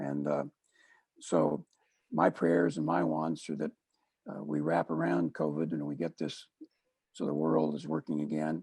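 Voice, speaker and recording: A man with an American accent speaks fairly slowly in a very deep, low voice with a dark, mellow tone and fairly even intonation, taking long, frequent pauses, the sound dry and close with no echo. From Missouri, US. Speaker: consultant and speaker. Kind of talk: casual interview chat. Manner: halting, many uh fillers.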